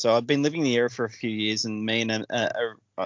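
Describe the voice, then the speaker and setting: Speaking at a fairly quick pace in an Australian accent, a man keeps his medium-pitched intonation fairly even. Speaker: podcast host. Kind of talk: casual chat.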